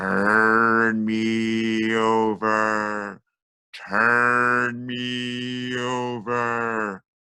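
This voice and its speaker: This put-on character voice sits low in pitch and moves at a very slow pace. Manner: spooky, eerie.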